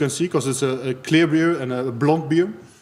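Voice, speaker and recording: Speaking very fast with ordinary pitch variation, a man talks in a Dutch accent. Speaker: beer tasting host. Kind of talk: live-streamed beer tasting talk. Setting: live stream. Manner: halting, many hesitations.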